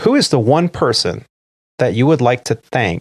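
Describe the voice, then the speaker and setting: At a moderate pace and medium pitch, a man speaks somewhat breathily with ordinary pitch variation, the sound dry and close with no echo. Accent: American. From immigrant to US as young child. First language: not English. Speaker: podcast host. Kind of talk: casual chat.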